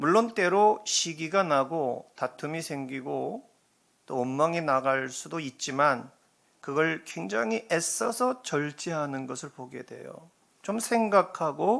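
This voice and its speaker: Delivered at a very slow pace with lively intonation, the speech comes in a very clean recording with a silent background. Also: man. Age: 60s. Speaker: pastor. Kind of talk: sermon. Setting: church.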